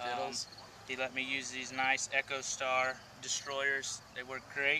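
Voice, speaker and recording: Light background noise beneath a man's voice. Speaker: interviewee. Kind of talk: interview answer. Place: open country. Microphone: camera far.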